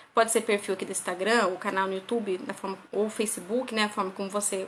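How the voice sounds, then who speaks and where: Fairly even intonation from a woman, set against noticeable background noise. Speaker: parenting educator. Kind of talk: live stream lecture. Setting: live stream on Instagram.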